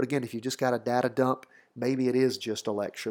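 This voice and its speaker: On a very clean recording with a silent background, the speech moves at a fairly quick pace with monotone, flat intonation. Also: man. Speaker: podcast host for attorneys. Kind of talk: solo podcast monologue. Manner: conversational.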